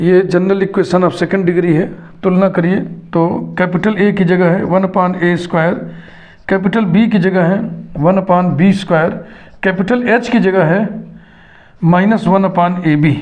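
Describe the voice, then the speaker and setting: A man talks at high pitch and a moderate pace, his intonation monotone and flat. Long, frequent pauses break up his speech, the loudness stays very even, and there is audible room echo. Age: 60s. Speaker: math teacher. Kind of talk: lecture.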